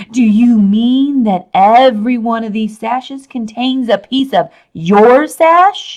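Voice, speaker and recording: A female-sounding put-on character voice, high in pitch, delivers its lines at a fairly slow pace. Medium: read story. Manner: menacing.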